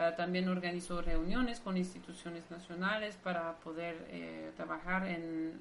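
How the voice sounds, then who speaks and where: Speaking with a non-native accent, a woman talks at a moderate pace with fairly even intonation and fairly low pitch. Noticeable background noise and audible room echo are present. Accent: foreign accent in Spanish. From Belgium, Brussels. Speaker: marine biologist. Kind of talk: interview.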